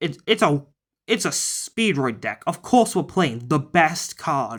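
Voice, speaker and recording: Speech at a very slow pace, with a silent background and a very clean recording. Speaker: card game deck builder. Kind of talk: deck profile tutorial. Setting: holding camera while handling cards. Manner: casual; halting, stumbling over words.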